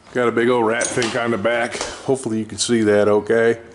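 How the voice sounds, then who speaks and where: A man speaks at a fairly quick pace and medium pitch with monotone, flat intonation while noticeable background noise carries on. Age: 60s. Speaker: race car builder, shop owner. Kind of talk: casual shop walkaround vlog. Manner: casual, rambling with fillers.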